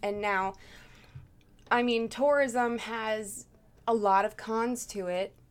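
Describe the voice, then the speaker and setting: This is a normal speaking voice from a woman. It sits fairly high, with ordinary pitch variation. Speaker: host's girlfriend. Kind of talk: casual chat. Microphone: far from the mic.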